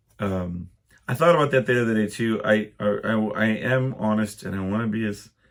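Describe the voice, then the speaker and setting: A man talking at a moderate pace. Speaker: podcast host. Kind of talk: casual solo podcast monologue. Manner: hesitant, many ums.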